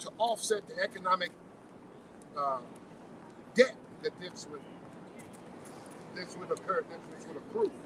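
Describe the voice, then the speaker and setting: With noticeable background noise behind it, the voice moves at a moderate pace with lively intonation. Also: man. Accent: American. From Pembroke, Illinois (rural US Midwest). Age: 60s. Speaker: farmer and community advocate. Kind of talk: public speech at a rally. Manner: halting, many repetitions and fillers.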